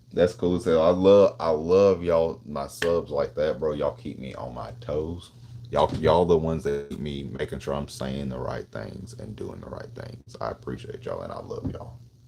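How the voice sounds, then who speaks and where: A man with a Tennessee accent, very deep and low in pitch, with lively intonation and hardly any pauses. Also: moderate pace, big swings in loudness. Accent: Southern US (Tennessee). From Tennessee, Nashville. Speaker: gun streamer. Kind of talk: live stream chat. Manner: casual, slangy.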